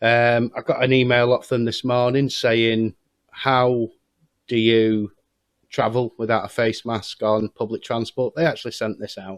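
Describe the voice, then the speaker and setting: Fairly slow delivery from a man, with fairly even intonation. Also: medium pitch for a man, dry, close sound with no echo. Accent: English. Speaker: YouTuber. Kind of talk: vlog monologue. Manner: hesitant.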